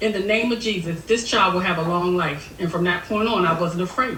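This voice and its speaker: Amid noticeable background noise and audible room echo, a woman talks at a medium pitch and a fairly quick pace with ordinary pitch variation. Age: 60s. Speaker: Marine Corps veteran, aspiring business owner. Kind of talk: group coaching call, question to coach. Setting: video call, wearing headphones.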